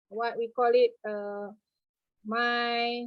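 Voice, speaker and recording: This is a woman speaking. Her pitch is high. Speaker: registered counselor. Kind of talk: panel discussion. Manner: halting.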